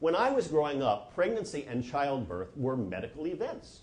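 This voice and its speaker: In an American accent, a man with vocal fry makes very wide pitch swings amid audible room echo. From New Jersey, US. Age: 60s. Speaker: physician and lecturer. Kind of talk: lecture.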